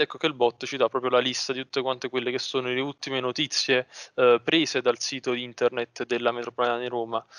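In a monotone, flat intonation, a man speaks at a very fast pace, the sound dry with no echo and the background quiet. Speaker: student; presenter. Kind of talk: tutorial. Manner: halting. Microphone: video call.

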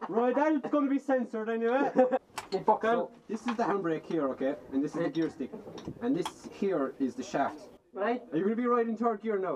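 The speech runs at a fairly quick pace over light background noise. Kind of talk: casual joking banter. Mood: playful, laughing. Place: car. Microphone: camera far.

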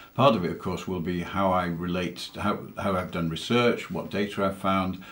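In a British accent, a man talks at a moderate pace with very deep, low pitch and fairly even intonation. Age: 60s. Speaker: entrepreneur, angel investor, cancer patient. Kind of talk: interview answer. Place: home room. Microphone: webcam.

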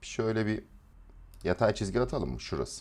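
Fairly low-pitched male speech at a moderate pace on a very clean recording with a silent background. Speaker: trading educator. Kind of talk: live stream market analysis. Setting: live stream.

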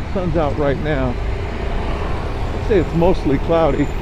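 Noticeable background noise is present. The sound is dry, with no echo. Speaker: motovlogger. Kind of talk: casual ride commentary. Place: motorbike.

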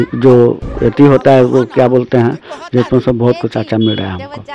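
Fairly even intonation at a moderate pace, over light background noise. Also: man, dry sound with no echo. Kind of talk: interview answer. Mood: content, proud. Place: street. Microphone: handheld.

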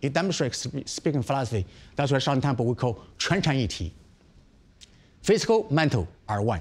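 A man with a Chinese accent speaks at a medium pitch with vocal fry. His pitch swings very widely. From China. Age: 50s. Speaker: Shaolin monk, temple abbot; martial arts monk teacher. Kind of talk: interview. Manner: animated, repetitive. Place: home room.

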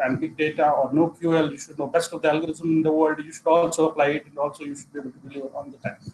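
Over light background noise, a man with an Indian accent speaks at a fairly quick pace in a high pitch. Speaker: analytics consultant. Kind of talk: presentation. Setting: video call. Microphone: video call.

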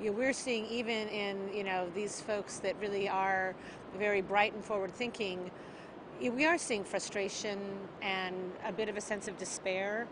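The speech moves at a fairly slow pace with fairly even intonation. Noticeable background noise sits in a dry sound with no echo. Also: woman. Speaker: aid organization worker. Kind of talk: interview answer. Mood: earnest, reflective. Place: beach.

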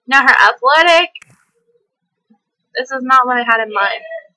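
Raised and projected, a woman's high, bright, sharp voice carries an energetic tone and lively intonation at a moderate pace. The sound is dry and close, with no echo. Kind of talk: casual gameplay commentary. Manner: hyper, energetic.

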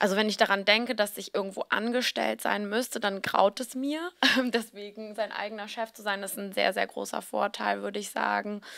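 Against a quiet background, a woman with an ordinary speaking voice talks at a medium pitch and a moderate pace, her intonation fairly even but her loudness swinging widely. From Hamburg, northern Germany; Germany. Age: 30s. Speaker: fashion blogger and founder; fashion blogger. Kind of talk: interview. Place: hall. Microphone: handheld.

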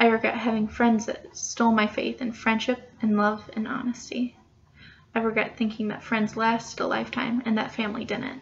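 A woman speaks at a moderate pace in a fairly high pitch. Her intonation is monotone and flat. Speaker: creative writing student. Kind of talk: poetry reading. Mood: quiet, reflective. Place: home room. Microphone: webcam.

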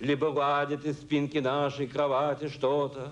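A man's monotone, flat delivery at a very slow pace. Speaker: poet reading his own poem. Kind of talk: poetry reading. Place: stage. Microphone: podium.

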